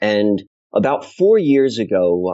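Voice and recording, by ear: With big pitch swings, a man speaks in a slightly mellow tone.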